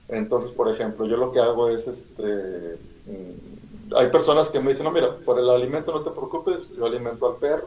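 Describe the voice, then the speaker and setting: Over noticeable background noise, a man talks fairly quickly at a medium pitch with ordinary pitch variation. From Mexico, Monterrey, Nuevo León. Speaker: animal rescuer. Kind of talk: interview.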